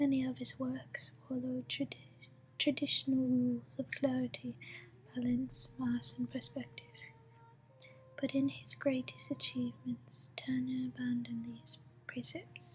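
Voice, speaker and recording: The voice whispers, soft-spoken and fairly slow. Long pauses come often. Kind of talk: ASMR book reading. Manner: soft, whispered.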